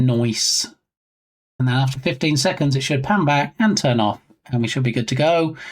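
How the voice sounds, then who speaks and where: In an English accent, the words come at a moderate pace. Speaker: game developer streamer. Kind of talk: casual live-stream chat while coding. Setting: live stream. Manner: casual, chatty.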